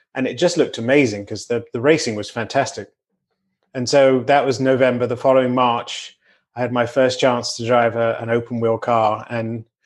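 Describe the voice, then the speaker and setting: A man in a British accent, medium-pitched, at a moderate pace with fairly even intonation, against a quiet background. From Britain. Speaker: racing driver. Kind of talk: podcast interview.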